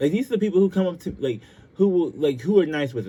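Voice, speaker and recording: Talking very fast, a man uses a dark, mellow tone with a somewhat breathy edge. His intonation is lively. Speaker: podcast host. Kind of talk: casual monologue. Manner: halting, many fillers.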